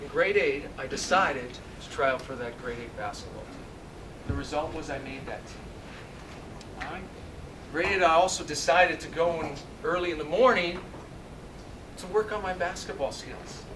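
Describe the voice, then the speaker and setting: Moderate pace with long, frequent pauses and big swings in loudness, plus audible room echo and noticeable background noise. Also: man. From Canada, Ontario (Sudbury). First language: Italian. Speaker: motivational speaker, former basketball player and coach. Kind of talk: motivational speech. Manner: animated.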